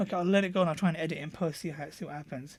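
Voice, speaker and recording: A man mumbles at a fairly quick pace with fairly even intonation, on a very clean recording with a silent background. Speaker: software reviewer. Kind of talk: screen-recorded tutorial review. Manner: mumbly; halting, many fillers.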